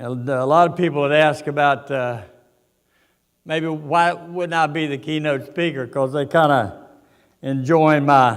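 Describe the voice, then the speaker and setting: A man with an Appalachian accent, fairly high pitch, ordinary pitch variation and a fairly slow pace, in audible room echo. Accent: Appalachian Southern US. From US South (West Virginia coal country). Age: 80s+. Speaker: boxing veteran. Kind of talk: keynote speech. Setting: stage with audience. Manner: halting.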